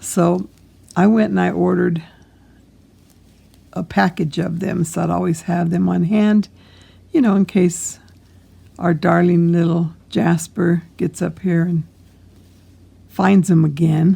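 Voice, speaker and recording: Fairly slow pace with long, frequent pauses. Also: woman. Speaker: crochet teacher. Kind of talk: tutorial. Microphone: microphone broken, iPad recording, may be hard to hear.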